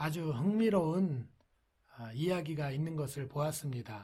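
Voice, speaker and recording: Very slowly, a man talks with a fairly high pitch, a dark, mellow tone and lively intonation. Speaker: pastor. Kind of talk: sermon. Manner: soft-spoken; formal.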